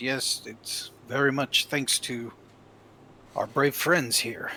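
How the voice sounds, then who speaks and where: In a raspy put-on character voice, a man speaks very slowly at a medium pitch with fairly even intonation. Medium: actual play.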